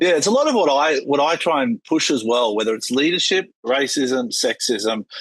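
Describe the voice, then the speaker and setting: An Australian-accented man with a fairly high pitch talks at a moderate pace with very wide pitch swings, very even loudness, and hardly any pauses. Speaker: yacht captain, podcast host. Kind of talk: casual interview chat.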